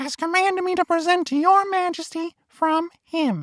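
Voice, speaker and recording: A woman puts on a squeaky character voice at an extremely high pitch. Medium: read story. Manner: bold, persuasive.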